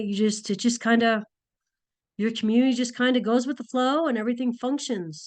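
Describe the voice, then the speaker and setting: Against a quiet background, a woman talks at a fairly quick pace in an ordinary speaking voice. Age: 60s. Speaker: nursing instructor. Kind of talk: online class lecture. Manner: casual, many fillers.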